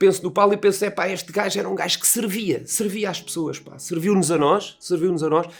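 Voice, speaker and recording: Ordinary pitch variation runs through speech at a very fast pace. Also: man. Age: 60s. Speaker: dental technician and horse enthusiast. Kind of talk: tribute speech. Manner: casual, colloquial.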